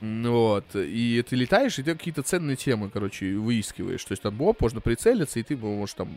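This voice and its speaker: A man with a medium pitch talks at a moderate pace with very wide pitch swings, in a dry, close recording with no echo. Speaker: podcast co-host. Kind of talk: casual chat. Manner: loud.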